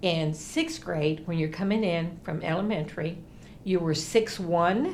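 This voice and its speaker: A woman with an American accent speaks very slowly at a fairly low pitch. Room echo is audible. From US South, South Texas (near the Mexican border). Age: 60s. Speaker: interviewee, former student activist. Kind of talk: documentary interview.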